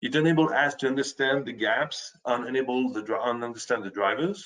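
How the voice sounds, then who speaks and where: The pace of this speech is moderate. It comes with a French accent. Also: man. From France. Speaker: software presenter. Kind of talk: webinar presentation. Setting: online webinar. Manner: halting, with frequent self-corrections.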